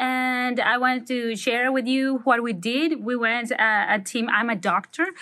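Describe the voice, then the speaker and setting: A woman speaks in a Spanish accent with a bright, sharp tone. Her pitch is fairly high, and the background is quiet. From Mexico, Manzanillo. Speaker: doctor. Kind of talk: recorded testimony.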